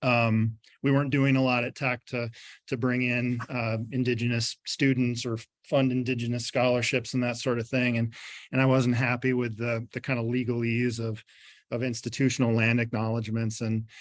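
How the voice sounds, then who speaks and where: With a strong Upper Midwest accent, a man speaks at a moderate pace in a medium-pitched voice, his intonation monotone and flat. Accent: thick upper Midwest. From Michigan, Montcalm County. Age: 40s. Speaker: poet and professor. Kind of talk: poetry reading with commentary. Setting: video call. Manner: halting, many fillers.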